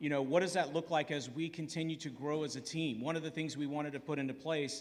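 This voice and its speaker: A man with a fairly high voice talks at a moderate pace, and the room echo is easy to hear. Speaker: church elder. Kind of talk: church family meeting. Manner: loud.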